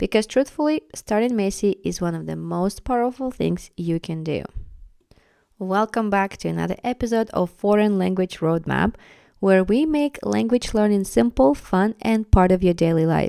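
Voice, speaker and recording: Speaking at a moderate pace with a Russian accent, a woman with a medium pitch uses lively intonation in a dry, close sound with no echo on a very clean recording with a silent background. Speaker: podcast host, language learning coach. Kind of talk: podcast monologue.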